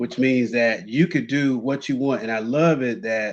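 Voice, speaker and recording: A man with a plain, everyday voice talks at a moderate pace and a medium pitch, using ordinary pitch variation. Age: 60s. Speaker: sports talk show host. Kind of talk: interview.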